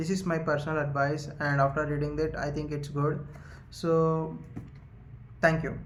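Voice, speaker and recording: Somewhat breathy male speech at a fairly high pitch and moderate pace, with monotone, flat intonation, long, frequent pauses and audible room echo. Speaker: YouTuber, book summary creator. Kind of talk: casual monologue, book summary. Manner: halting, many fillers.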